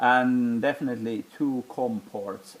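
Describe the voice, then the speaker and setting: A man with a Finnish accent speaks at a medium pitch with ordinary pitch variation. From Finland. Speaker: tech hobbyist youtuber. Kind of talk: hands-on tutorial. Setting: home basement room. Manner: halting, with many fillers.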